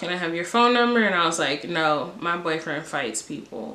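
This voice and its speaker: A woman with an American accent talks at a fairly quick pace in a fairly low voice, with noticeable background noise. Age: 20s. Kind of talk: casual story time to camera.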